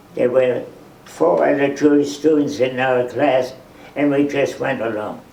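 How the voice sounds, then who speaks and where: The speech comes at a fairly slow pace, with audible room echo and noticeable background noise. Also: man. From Germany (Frankfurt). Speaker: Holocaust survivor and museum docent. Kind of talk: testimony. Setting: museum talk with live audience.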